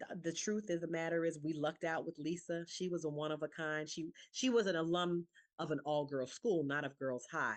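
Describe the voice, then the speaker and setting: A woman with an American accent talks at a fairly quick pace, her pitch fairly low with ordinary variation. The background is quiet. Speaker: alumni association president. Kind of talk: town hall Q&A. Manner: fast.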